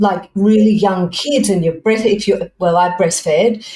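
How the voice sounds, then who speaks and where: A woman with an Australian accent speaks at a medium pitch, her tone dark and mellow and her pitch varying in an ordinary way. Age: 60s. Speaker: fashion and personal development coach. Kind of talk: podcast interview. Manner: halting.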